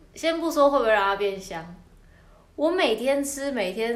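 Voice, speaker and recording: Amid audible room echo, a woman at high pitch moves at a moderate pace with very wide pitch swings. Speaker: podcast co-host. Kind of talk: casual chat; news reading. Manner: halting.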